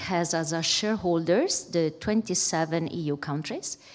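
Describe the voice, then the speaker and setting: A woman with an Italian accent speaks at a fairly low pitch with ordinary pitch variation. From Italy. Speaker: bank executive. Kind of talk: keynote speech. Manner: hesitant, many fillers.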